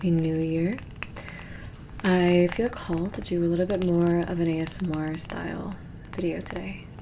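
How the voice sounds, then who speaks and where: Soft-spoken, a woman talks at a fairly low pitch with fairly even intonation. Background noise is noticeable. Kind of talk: ASMR tarot reading.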